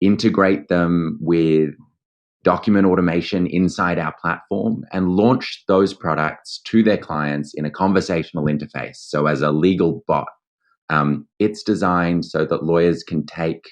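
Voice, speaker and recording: A man's very deep, low voice with an Australian accent, at a fairly slow pace with ordinary pitch variation. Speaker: legal tech founder and lawyer. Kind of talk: interview.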